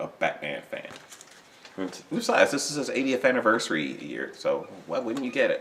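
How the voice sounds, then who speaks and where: Over noticeable background noise, the man talks at a moderate pace. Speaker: toy and comic collector vlogger. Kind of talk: casual haul video. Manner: hesitant, filler words.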